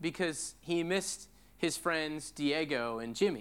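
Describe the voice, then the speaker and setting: Lively intonation colors a man's high-pitched voice with an American accent. He speaks at a fairly slow pace in a very clean recording with a silent background. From US Pacific Northwest. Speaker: pastor. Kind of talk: sermon. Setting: church.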